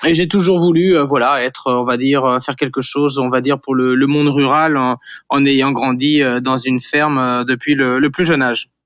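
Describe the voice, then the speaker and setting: At a moderate pace and medium pitch, a man talks with very even loudness and fairly even intonation over a quiet background. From western France, Vendée coast. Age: 40s. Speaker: startup founder. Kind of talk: interview. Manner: hesitant, many fillers and repetitions.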